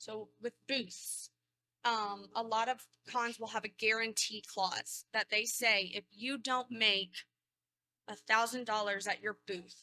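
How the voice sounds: A woman speaks slowly at a fairly high pitch, her tone bright and sharp, her intonation fairly even, and the sound dry and close with no echo.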